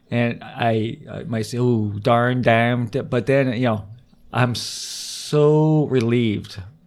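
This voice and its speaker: Speaking at a very slow pace, a man with a medium pitch and fairly even intonation is heard with audible room echo. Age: 50s. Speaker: comedian. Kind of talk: casual chat.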